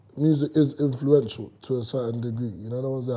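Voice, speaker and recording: In a London accent, a man with a dark, mellow tone talks at a fairly quick pace, his medium pitch held in fairly even intonation. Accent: London multicultural English. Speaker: rapper. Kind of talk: casual chat. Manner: loud.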